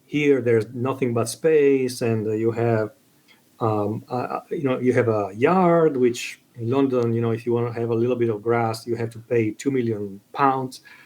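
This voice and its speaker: Here a man speaks with an Italian accent. His voice sits at a medium pitch with fairly even intonation. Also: moderate pace. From Italy. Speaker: book video creator. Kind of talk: casual chat. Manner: halting.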